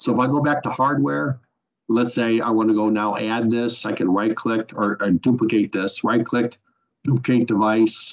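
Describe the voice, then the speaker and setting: A man's unremarkable speaking voice at a medium pitch, moderate pace, ordinary pitch variation and very even loudness. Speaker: software trainer. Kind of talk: webinar tutorial. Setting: online webinar.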